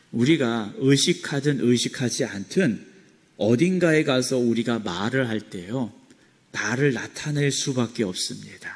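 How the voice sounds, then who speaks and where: A man talks at a very slow pace in a medium pitch. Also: ordinary pitch variation. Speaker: pastor. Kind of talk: sermon.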